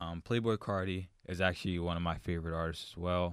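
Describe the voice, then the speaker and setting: Over a very clean recording with a silent background, a man talks at a fairly quick pace with a very deep, low pitch and monotone, flat intonation. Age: 20s. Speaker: college student podcast host and basketball player. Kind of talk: solo casual monologue. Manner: casual with frequent fillers and repetitions.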